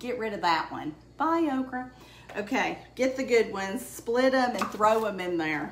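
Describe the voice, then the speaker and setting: Woman of fairly high pitch with lively intonation and a moderate pace, amid noticeable background noise. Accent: Southern US. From Alabama. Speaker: home cook. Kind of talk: casual cooking demonstration to camera. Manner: chatty, friendly.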